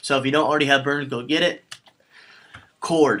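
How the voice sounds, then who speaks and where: In a bright, sharp tone, a man speaks fairly quickly. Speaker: tech video host. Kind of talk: tutorial. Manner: fast.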